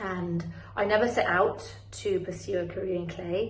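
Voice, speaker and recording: A British accent amid audible room echo and noticeable background noise. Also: woman. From southern Spain. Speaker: ceramic artist. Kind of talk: pre-recorded artist presentation. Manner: slightly halting, repeats words.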